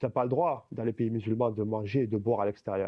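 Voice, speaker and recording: A man speaks at a medium pitch. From Algeria. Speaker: apostate giving a testimony. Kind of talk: casual chat.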